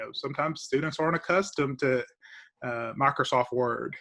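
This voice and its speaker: Talking at a fairly quick pace with an eastern Kentucky accent, a man uses a bright, sharp tone at a medium pitch with ordinary pitch variation. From eastern Kentucky, Clay County. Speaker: law professor and attorney. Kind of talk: interview. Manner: hesitant, repeats words.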